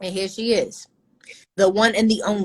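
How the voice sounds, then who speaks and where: A woman with an American accent at a moderate pace, in a dry, close sound with no echo. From United States. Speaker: podcast host. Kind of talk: casual chat. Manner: animated.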